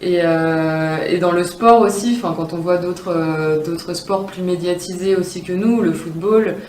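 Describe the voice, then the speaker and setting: A woman talks at a moderate pace in a fairly low pitch. Audible room echo and noticeable background noise surround her voice. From France, Grenoble. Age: 20s. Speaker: elite athlete (rower). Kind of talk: promotional interview testimony. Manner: hesitant, many fillers.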